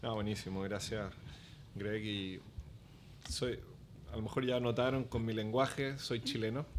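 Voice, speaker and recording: A man with a medium-pitched voice speaks at a fairly slow pace and fairly even intonation, leaving long, frequent pauses amid audible room echo. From Chile. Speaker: business development executive. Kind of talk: podcast interview.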